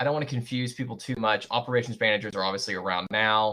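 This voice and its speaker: A man talks very fast at a medium pitch. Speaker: university lecturer. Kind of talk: lecture. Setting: video call.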